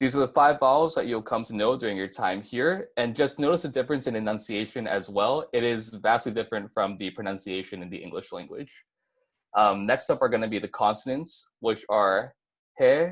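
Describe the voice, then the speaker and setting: In a Hawaiian accent, a man talks at medium pitch with ordinary pitch variation. The recording is very clean, with a silent background. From Hawaii, Maui. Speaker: university student presenter. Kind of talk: tutorial. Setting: live stream. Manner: fast.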